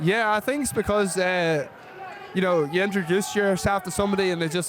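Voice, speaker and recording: Over noticeable background noise, a man with an Irish accent talks at a very fast pace and a high pitch. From Ireland. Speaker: football kicker. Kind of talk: casual chat.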